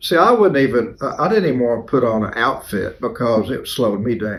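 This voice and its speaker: In an Appalachian Tennessee accent, a man of medium pitch talks at a fairly quick pace with lively intonation. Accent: Southern US (Appalachian Tennessee). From East Tennessee (Cleveland). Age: 70s. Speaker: folk character creator. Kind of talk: interview. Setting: at his home.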